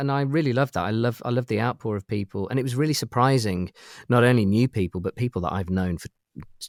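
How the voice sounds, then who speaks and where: A man with a British accent talks at a fairly quick pace, medium pitch and lively intonation. The recording is very clean, with a silent background and a dry, close sound with no echo. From UK. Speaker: toy prototype collector. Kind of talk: casual chat. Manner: halting.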